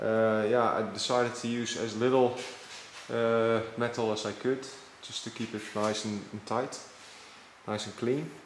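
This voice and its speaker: Talking at a fairly slow pace with long, frequent pauses, a man keeps a monotone, flat intonation amid audible room echo and noticeable background noise. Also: medium pitch for a man. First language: not English. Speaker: motorcycle hobbyist mechanic. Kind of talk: tutorial. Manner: halting, many fillers.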